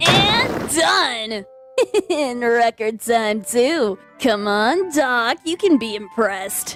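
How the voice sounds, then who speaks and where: A put-on character voice, female-sounding and fairly high-pitched for a woman, at a very slow pace with faint music in the background. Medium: dub. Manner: cocky, aggressive.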